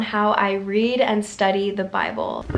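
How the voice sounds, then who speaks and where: A woman at a medium pitch amid noticeable background noise. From Ethiopia. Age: 20s. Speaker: lifestyle YouTuber. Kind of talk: casual talk to camera.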